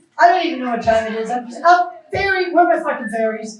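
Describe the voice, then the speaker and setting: Talking at a very fast pace, a woman uses lively intonation in a room with audible echo. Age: 60s. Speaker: psychic medium. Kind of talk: live stage psychic reading show. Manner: animated.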